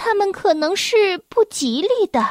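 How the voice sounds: Someone does a put-on character voice at a fairly slow pace. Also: woman.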